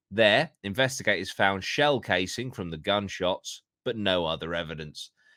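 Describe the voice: This is plain reading aloud, heard over a quiet background.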